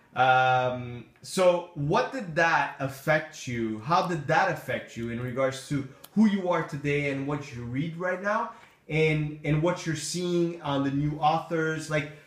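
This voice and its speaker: Noticeable background noise sits behind this recording. A man with a fairly high pitch speaks at a very slow pace. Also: ordinary pitch variation. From Portugal. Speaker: live streamer. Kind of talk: casual chat.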